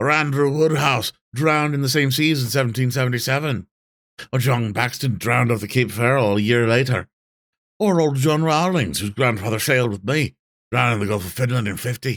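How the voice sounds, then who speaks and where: Putting on a character voice with a strong Yorkshire accent, a man cackles in a raised, projected voice at a medium pitch and a fairly quick pace. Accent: broad Yorkshire dialect. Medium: read story. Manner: scornful, boastful, rambling.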